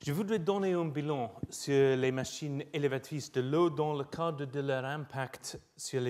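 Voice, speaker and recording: A man with a British accent speaks at a fairly high pitch and a fairly slow pace. He hardly pauses, and his pitch variation is ordinary. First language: English (speaking French). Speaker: professor. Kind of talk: lecture. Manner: halting with many hesitations.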